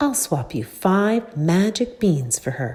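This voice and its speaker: At a middle pitch, a croaky, female-sounding put-on character voice moves at a fairly slow pace through very wide pitch swings. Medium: read story.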